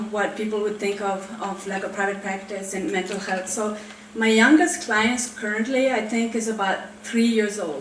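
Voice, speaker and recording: Over noticeable background noise and audible room echo, a woman speaks at a moderate pace with a fairly high pitch and fairly even intonation. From Switzerland. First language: French. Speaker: therapist. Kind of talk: panel talk. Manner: casual, with many fillers.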